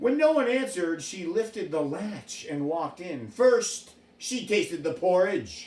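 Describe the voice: Straightforward reading aloud, nothing more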